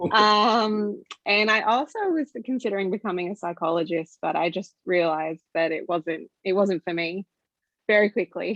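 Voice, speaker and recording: Recorded dry and close with no echo, a woman speaks at medium pitch and moderate pace with ordinary pitch variation. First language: Greek. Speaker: STEM professional. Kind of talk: panel discussion.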